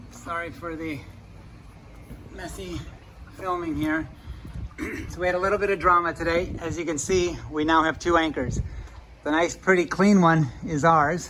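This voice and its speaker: Over noticeable background noise, a man with a high voice speaks at a moderate pace with fairly even intonation and long, frequent pauses. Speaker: sailing vlogger, father on a liveaboard boat. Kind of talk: casual vlog narration to camera.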